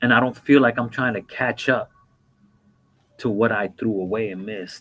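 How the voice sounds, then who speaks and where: A man with a normal speaking voice talks at medium pitch and a moderate pace. His intonation is fairly even, but there are big swings in loudness. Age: 50s. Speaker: former prisoner turned mentor. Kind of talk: interview.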